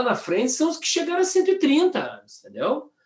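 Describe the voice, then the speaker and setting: A man speaks with lively intonation. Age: 50s. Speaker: communication expert and keynote speaker. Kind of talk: casual interview. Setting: online live stream. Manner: animated.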